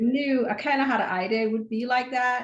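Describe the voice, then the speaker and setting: The speaker has a slight Caribbean accent. The pace is fairly quick. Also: woman. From Caribbean, St. Thomas, US Virgin Islands. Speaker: optometrist. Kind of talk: casual podcast interview.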